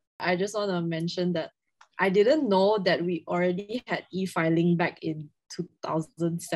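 A woman with an unremarkable speaking voice, fairly low in pitch, fairly even in intonation, at a fairly slow pace. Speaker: law student podcast co-host. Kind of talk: interview.

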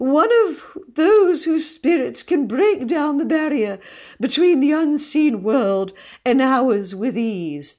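A put-on character voice with a dark, mellow tone goes at a slow pace with lively intonation. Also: woman, high pitch for a woman.

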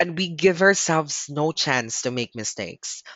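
A man with a Filipino accent speaks in a fairly high voice. His intonation is lively and his pace moderate. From Philippines. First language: Tagalog. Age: 20s. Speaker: podcast host. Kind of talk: solo podcast monologue, Taglish.

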